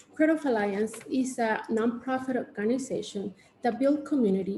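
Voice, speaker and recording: A speaker with a Mexican accent and a dark, mellow tone. The pitch varies in an ordinary way. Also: woman. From Mexico (Oaxaca). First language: Spanish. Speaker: artist and arts educator. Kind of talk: panel presentation. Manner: halting, many fillers.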